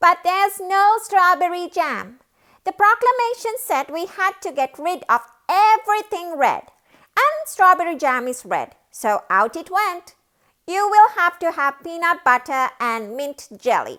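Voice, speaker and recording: A woman's put-on character voice, extremely high-pitched, with very wide pitch swings. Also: moderate pace. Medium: read story. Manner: polite, apologetic.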